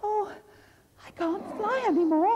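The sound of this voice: An extremely high, wheezy put-on character voice carries the line.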